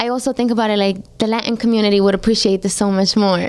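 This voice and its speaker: A woman talks at a fairly quick pace with a Spanish accent. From Colombia, Medellin, moved to New York at ten. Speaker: singer. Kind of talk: radio interview. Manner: casual, heavy use of like.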